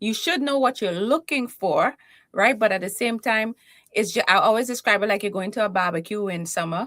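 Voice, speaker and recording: A woman with a Trinidadian accent speaks at a fairly quick pace in a fairly high pitch with ordinary pitch variation. The recording is very clean, with a silent background and a dry, close sound with no echo. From Trinidad and Tobago. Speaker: keynote speaker and confidence coach. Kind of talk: interview. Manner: animated.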